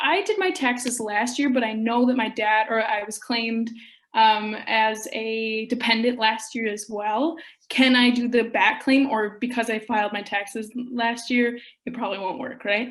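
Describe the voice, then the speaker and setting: A woman speaks in a Minnesotan accent at a moderate pace. Her voice is fairly high, with fairly even intonation. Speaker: program participant. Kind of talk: Q&A question. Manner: halting.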